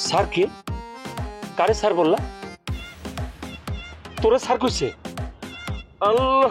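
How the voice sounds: Faint music plays behind a put-on character voice that moves slowly, with lively intonation, a fairly bright tone and a slightly husky edge. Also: man, high pitch for a man.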